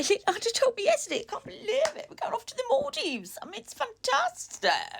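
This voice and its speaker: An English-accented woman at an extremely high pitch, fairly quick with hardly any pauses, her pitch swinging very widely and her loudness swinging a lot. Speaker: author and vlogger. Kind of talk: casual vlog. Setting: at home.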